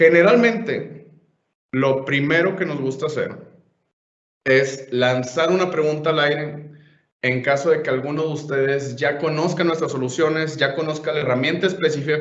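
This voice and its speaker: A man with a Monterrey accent, a fairly high pitch, ordinary pitch variation and a moderate pace, with audible room echo. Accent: Monterrey (northern Mexican). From Mexico, Monterrey. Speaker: software trainer / conference speaker. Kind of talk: conference presentation / webinar.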